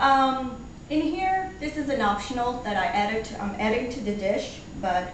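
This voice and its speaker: Noticeable background noise and audible room echo surround the speaker. A woman talks very slowly with lively intonation. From Portugal. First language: Portuguese. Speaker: home cook. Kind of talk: cooking tutorial. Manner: casual, halting with fillers.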